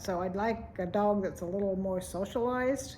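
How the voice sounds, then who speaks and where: A woman speaks with a dark, mellow tone. Room echo can be heard around her voice. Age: 70s. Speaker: vlogger. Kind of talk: casual vlog monologue.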